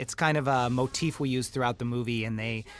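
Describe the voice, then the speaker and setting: Music plays behind the voice. The speaker is a man. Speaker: film director. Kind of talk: audio commentary.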